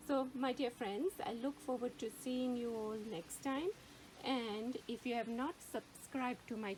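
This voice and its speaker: Fairly slow speech with a Gujarati accent, ordinary pitch variation and noticeable background noise. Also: woman. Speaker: gardening YouTuber. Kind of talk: tutorial. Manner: hesitant, searching for words.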